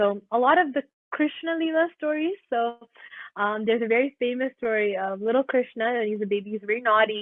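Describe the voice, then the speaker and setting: With a Canadian accent, a woman talks at a fairly quick pace in a fairly high pitch, with ordinary pitch variation and an unremarkable speaking voice. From Ontario, Canada, of Kerala Indian roots. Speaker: graduate student, classical dancer. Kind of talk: interview answer.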